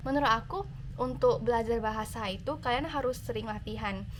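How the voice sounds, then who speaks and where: Audible room echo surrounds this recording. The woman in it speaks at a moderate pace. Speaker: YouTuber, university student. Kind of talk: Q&A vlog. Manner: casual, with many fillers.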